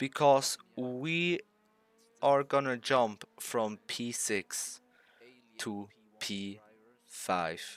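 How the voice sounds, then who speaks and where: Speaking very slowly with long, frequent pauses, a man with a non-native accent talks at a medium pitch, the sound dry and close with no echo. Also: lively intonation. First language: not English. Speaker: sim racing YouTuber. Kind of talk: gameplay commentary over race footage. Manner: animated.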